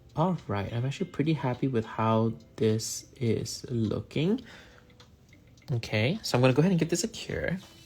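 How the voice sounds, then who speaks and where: This man's voice sits at medium pitch and is somewhat breathy. He speaks at a moderate pace with lively intonation. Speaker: nail artist and content creator. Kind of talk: live painting tutorial. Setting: livestream. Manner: casual, hesitant with many fillers.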